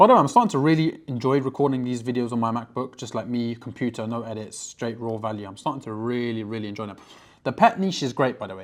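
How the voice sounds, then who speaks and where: Ordinary in pitch variation, a man speaks at a very fast pace. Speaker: online business coach. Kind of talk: screen-recorded tutorial. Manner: high energy.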